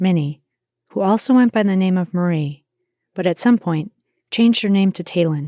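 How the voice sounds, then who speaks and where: At a moderate pace, a woman with a Wisconsin accent speaks in a dark, mellow tone, in a dry, close sound with no echo, in a very clean recording with a silent background. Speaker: true crime podcaster. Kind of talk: scripted narration.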